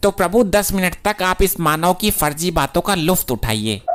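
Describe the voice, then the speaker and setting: This is a cartoonish character voice at a middle pitch. It moves at a moderate pace. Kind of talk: formal mythic Hindi. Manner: deferential, gossipy.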